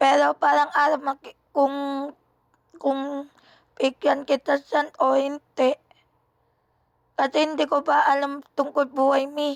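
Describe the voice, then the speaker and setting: Her high-pitched voice is monotone and flat, very slow with long, frequent pauses and very even loudness, in a dry, close sound with no echo. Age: 20s. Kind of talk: casual chat. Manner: halting.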